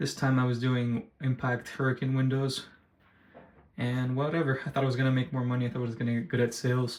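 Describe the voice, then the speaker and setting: Very fast and in a flat monotone, a man delivers his lines. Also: medium pitch for a man. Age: 20s. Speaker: vlogger. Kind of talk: casual vlog monologue. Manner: soft-spoken; halting.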